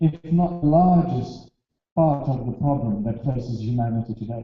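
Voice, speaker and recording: Lively intonation marks a man's fairly high, somewhat breathy voice. He talks at a moderate pace. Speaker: speaker on alternative history. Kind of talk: lecture.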